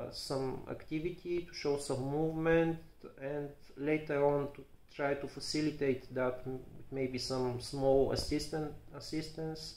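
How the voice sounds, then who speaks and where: A man with a Bulgarian accent, monotone and flat in intonation, with big swings in loudness and audible room echo. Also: fairly high pitch for a man, fairly slow pace. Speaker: physiotherapist. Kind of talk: educational talk to camera. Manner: halting, many fillers and repetitions.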